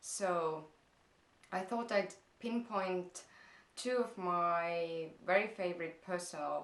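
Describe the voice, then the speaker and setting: Speaking very slowly, a woman has an Estonian accent. Her speech has long, frequent pauses. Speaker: blogger. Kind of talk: vlog Q&A. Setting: parents' house. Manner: hesitant, many fillers.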